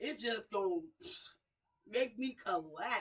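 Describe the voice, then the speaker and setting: This woman has a high pitch and an animated tone. Her voice is raised and projected. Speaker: radio show host. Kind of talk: inspirational talk. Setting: livestream. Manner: loud.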